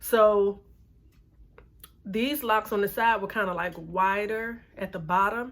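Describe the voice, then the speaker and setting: A woman's fairly high voice with fairly even intonation, a normal speaking voice. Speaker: beauty vlogger. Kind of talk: casual vlog talk.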